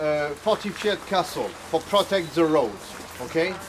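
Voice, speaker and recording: A man talks with a French accent and ordinary pitch variation. Noticeable background noise runs under his voice. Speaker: chateau owner giving a tour. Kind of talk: guided tour talk.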